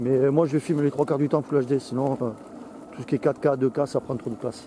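Over light background noise, a man with a fairly high pitch speaks at a moderate pace, the sound dry with no echo. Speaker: vlogger testing a camera while riding an electric unicycle. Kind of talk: casual vlog commentary. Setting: outdoors riding on trails. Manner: halting, many hesitations. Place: open country.

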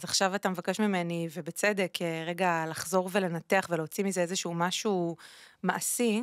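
An ordinary speaking voice with fairly even intonation, a dry sound with no echo and a quiet background. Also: woman. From Israel, Ashdod; Israel. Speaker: singer and former radio host; former radio host. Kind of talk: interview conversation. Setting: studio. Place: studio. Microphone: studio mic.

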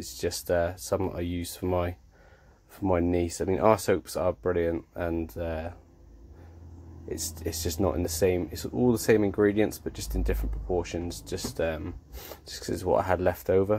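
A man's very deep, low voice has a dark, mellow tone and a somewhat breathy quality, moving at a moderate pace with lively intonation. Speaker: soap maker. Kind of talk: casual how-to demonstration.

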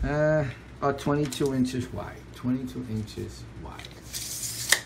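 An animated tone over noticeable background noise. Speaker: parent making a product review video. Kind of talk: casual home product demo, chatty and coaxing. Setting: at home with kids. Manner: animated, repetitive, coaxing a child. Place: home room. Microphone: phone near.

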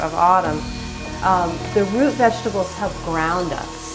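Clear music plays behind this woman as she talks at a moderate pace. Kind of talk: tutorial. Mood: calm, gentle. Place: kitchen. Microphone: camera far.

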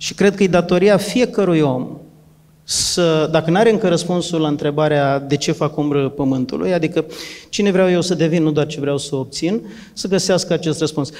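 The man talks at a moderate pace, his fairly high voice showing ordinary pitch variation. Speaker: trainer and coach. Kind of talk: talk answering a question, structured explanation. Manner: structured, methodical. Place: hall. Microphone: handheld.

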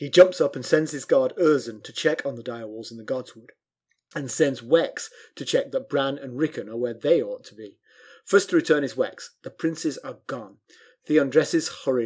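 This man has an ordinary speaking voice with fairly high pitch and ordinary pitch variation at a moderate pace. The recording is very clean, with a silent background. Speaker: podcast host. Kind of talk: casual chat, book review discussion. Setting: recorded podcast.

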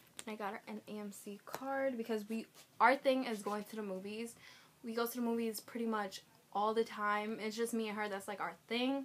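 Over noticeable background noise, a woman speaks at a moderate pace. Her intonation is fairly even. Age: 20s. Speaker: vlogger. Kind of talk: casual vlog. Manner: chatty, rambling speech with fillers.

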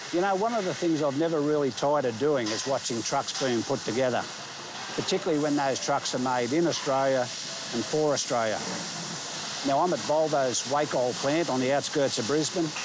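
There is noticeable background noise as a man speaks at a fairly quick pace with ordinary pitch variation, the sound dry with no echo. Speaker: truck journalist presenter. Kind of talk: presenter piece to camera. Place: factory.

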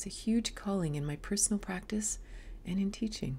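The speech is somewhat breathy and moves at a fairly quick pace. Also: woman. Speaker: yoga teacher. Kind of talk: casual vlog chat. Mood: calm, reflective. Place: home room. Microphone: webcam.

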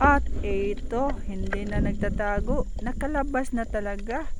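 A man amid noticeable background noise. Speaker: underwater fishing vlogger. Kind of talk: vlog narration with a pitchman's patter, playful spearfishing commentary.

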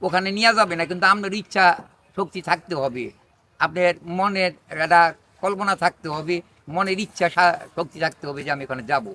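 This man's voice sits high in pitch, bright and sharp in tone, with ordinary pitch variation and a dry, close sound with no echo. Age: 80s+. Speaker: traditional healer. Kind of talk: direct-to-camera public appeal. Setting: outdoors under a neem tree.

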